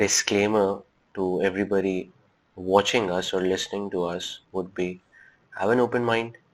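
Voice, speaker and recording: In a Pakistani accent, a man speaks at a fairly low pitch with monotone, flat intonation. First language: Urdu. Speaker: reflexologist. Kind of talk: podcast interview.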